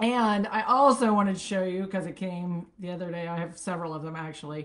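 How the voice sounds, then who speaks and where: A woman speaks at a fairly quick pace in a fairly low voice, with ordinary pitch variation and light background noise. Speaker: product seller hosting a live stream. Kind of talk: casual live-stream product chat. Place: home room. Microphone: webcam.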